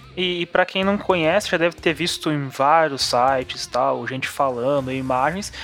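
Against noticeable background noise, a man with a fairly high pitch talks at a moderate pace with hardly any pauses and ordinary pitch variation. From São Paulo, Brazil. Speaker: podcast co-host. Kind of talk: casual chat.

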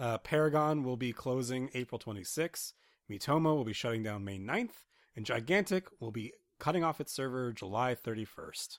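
A plain, everyday voice from a man, medium in pitch, at a moderate pace with lively intonation, dry and close with no echo on a very clean recording with a silent background. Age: 30s. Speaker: video game podcast co-host. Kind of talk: casual chat.

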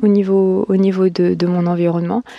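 Through noticeable background noise comes a woman's voice at a medium pitch. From France. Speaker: podcaster. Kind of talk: casual monologue. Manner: halting.

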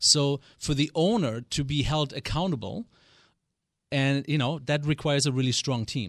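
A man with a German accent speaks at a fairly quick pace and fairly high pitch, with a dry, close sound, no echo and a quiet background. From West Germany. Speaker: business coach. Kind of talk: radio interview. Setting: studio.

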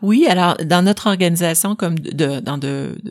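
A woman at a fairly slow pace, with vocal fry. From Quebec, Bas-Saint-Laurent. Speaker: lawyer. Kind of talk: interview.

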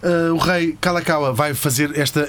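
A man's voice with noticeable background noise. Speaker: podcast host. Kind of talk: comedic history storytelling. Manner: animated.

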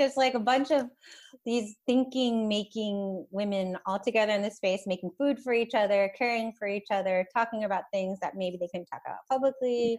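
A woman with an American accent has a plain, everyday voice, speaking at a moderate pace with a fairly high pitch and ordinary pitch variation. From US, Baltimore, Maryland. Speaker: sound artist. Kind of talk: casual interview. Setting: video call.

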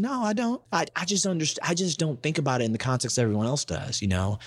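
A man talks fairly quickly. He has an American accent. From Baltimore, Maryland, US. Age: 20s. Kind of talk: casual interview. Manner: animated.

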